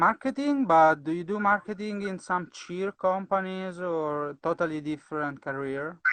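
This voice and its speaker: The speaker has a non-native accent and talks at a moderate pace with hardly any pauses against a quiet background. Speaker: cheerleading channel host. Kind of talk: interview. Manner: halting.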